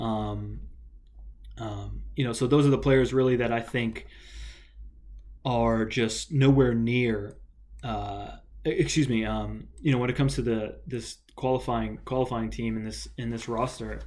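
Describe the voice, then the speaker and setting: A man with an American accent talks at a fairly slow pace, leaving long, frequent pauses, with audible room echo. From United States. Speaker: football vlogger. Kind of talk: solo video commentary. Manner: halting, many fillers.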